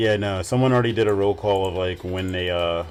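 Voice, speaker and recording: Music in the background plays as the words come at a fairly quick pace. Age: 20s. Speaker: streamer. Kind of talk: casual chat. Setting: livestream.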